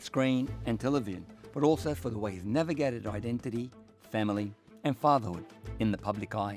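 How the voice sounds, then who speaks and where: Music plays in the background while a man talks at a medium pitch. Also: ordinary pitch variation. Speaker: podcast host. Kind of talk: podcast intro.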